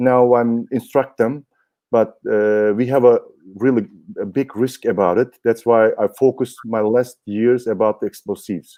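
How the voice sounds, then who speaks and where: Speaking at a moderate pace with a non-native accent, a man uses fairly even intonation at a medium pitch. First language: German. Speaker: dog handler and trainer. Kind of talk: interview. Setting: live online broadcast. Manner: halting.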